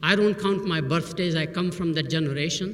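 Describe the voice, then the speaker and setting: A man's fairly high voice with an Indian accent and ordinary pitch variation, in audible room echo. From Burma, Indian family. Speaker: professor. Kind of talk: commencement speech.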